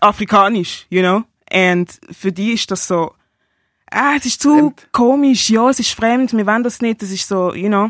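A woman's fairly high voice with ordinary pitch variation, an ordinary speaking voice, and a dry, close sound with no echo, on a very clean recording with a silent background. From Basel, Switzerland. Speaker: rapper and singer sharing experiences of racism. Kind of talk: personal testimony.

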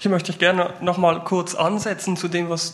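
A high-pitched male voice at a moderate pace. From Switzerland, Basel-Landschaft. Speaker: youth worker. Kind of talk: panel discussion.

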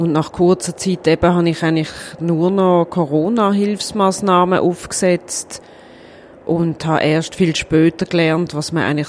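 Fairly even intonation from a woman with a normal speaking voice, pitched fairly low and moving at a moderate pace. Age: 40s. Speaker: cantonal government minister. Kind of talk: interview.

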